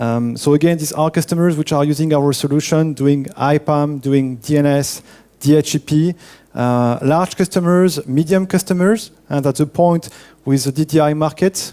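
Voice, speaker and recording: In a French accent, a man with a fairly high pitch and a dark, mellow tone talks at a moderate pace with fairly even intonation. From France. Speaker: network engineer presenting at a conference. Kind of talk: conference talk.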